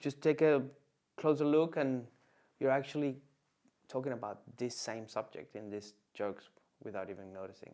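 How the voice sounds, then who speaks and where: A man with a Venezuelan accent speaks at a medium pitch and a moderate pace, his dark, mellow tone showing ordinary pitch variation, big swings in loudness and long, frequent pauses. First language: Spanish. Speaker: comedian. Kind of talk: casual chat. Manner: halting, many fillers and restarts.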